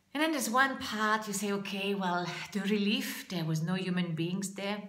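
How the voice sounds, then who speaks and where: A woman speaks at a moderate pace with a medium pitch and ordinary pitch variation. Noticeable background noise and audible room echo fill the recording. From France. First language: French. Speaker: public speaking coach. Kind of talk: vlog monologue. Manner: halting.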